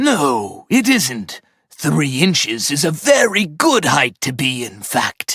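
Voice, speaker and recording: In a cartoonish character voice, a man speaks fairly slowly at a fairly high pitch. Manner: curt, dismissive.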